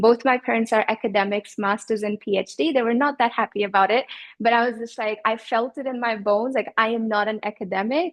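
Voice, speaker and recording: Speaking at a fairly quick pace, a woman with a plain, everyday voice keeps a fairly high pitch and fairly even intonation. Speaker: business coach. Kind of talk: interview answer.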